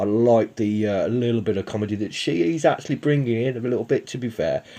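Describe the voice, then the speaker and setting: A man with a Birmingham accent, medium-pitched, dark and mellow in tone, at a fairly quick pace with ordinary pitch variation. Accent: Brummie. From Birmingham, England. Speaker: YouTube TV reviewer. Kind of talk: casual review commentary. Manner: hesitant, many fillers.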